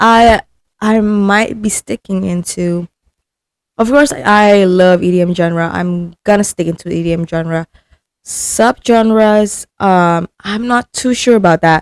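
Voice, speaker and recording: A woman's medium-pitched voice, very slow with ordinary pitch variation, in a dry, close recording with no echo. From Indonesia. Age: 20s. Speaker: podcast host. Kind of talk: casual chat. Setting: holiday rental room. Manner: halting.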